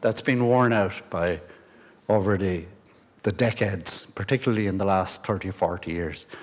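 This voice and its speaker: A man with an Irish accent speaks at a fairly quick pace, his pitch fairly low and his pitch variation ordinary. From Ireland, County Mayo. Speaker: guest speaker, pilgrimage society member. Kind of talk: presentation to an audience. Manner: halting, many fillers and restarts.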